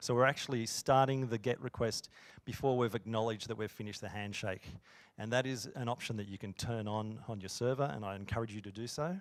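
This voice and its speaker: In a very clean recording with a silent background, a man with an Australian accent talks very fast at a medium pitch with ordinary pitch variation. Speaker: software engineer. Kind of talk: conference talk. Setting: stage with audience.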